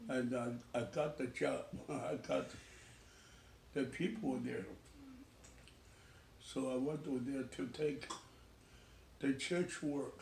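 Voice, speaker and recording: In a room with audible echo, a man of medium pitch talks at a very slow pace with lively intonation, vocal fry, and long, frequent pauses. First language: Chinese. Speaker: retired pastor. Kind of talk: family interview, life story. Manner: halting.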